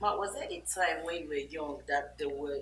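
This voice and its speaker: A woman talks at a moderate pace while music sounds in the background. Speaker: interviewer.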